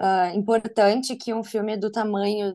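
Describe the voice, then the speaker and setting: A woman speaks at a very slow pace with medium pitch and a dark, mellow tone. The background is quiet. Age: 30s. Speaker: advertising professional and film buff. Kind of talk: casual chat.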